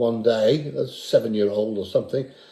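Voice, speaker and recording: This man's voice has a dark, mellow tone. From Guernsey, Channel Islands. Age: 70s. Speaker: guitar player. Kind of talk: casual interview chat. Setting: kitchen.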